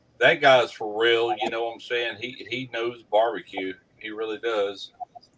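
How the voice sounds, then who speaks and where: Here a man speaks with a Mississippi accent. His intonation stays fairly even. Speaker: barbecue YouTuber. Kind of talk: casual chat.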